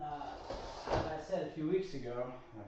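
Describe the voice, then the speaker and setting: A man mumbles at a fairly slow pace, his pitch fairly high. Room echo is audible. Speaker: fitness instructor. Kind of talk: workout livestream. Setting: home workout livestream. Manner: mumbling.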